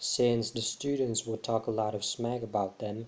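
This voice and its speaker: A man with a non-native accent, medium pitch and fairly even intonation. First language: not English. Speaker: vlogger. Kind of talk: casual vlog monologue. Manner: halting, many fillers.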